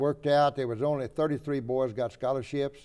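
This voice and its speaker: With a Texan accent, a man speaks in a dark, mellow tone. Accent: Texan Southern American. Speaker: World War II Marine veteran, retired high school football coach. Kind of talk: interview answer. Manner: hesitant, halting.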